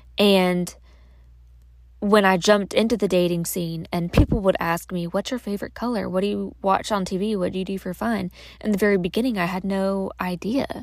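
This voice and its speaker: With fairly even intonation, a woman talks at a fairly quick pace in a plain, everyday voice. Her pitch is medium, and the recording is very clean with a silent background. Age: 30s. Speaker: podcast host. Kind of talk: casual monologue. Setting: in a closet at home. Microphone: recording in closet for better audio.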